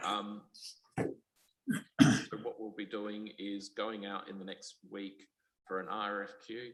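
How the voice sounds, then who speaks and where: A man with a fairly low pitch speaks in a monotone, flat intonation with big swings in loudness. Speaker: council staff member. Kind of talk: report at formal meeting. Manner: fast; hesitant, many ums.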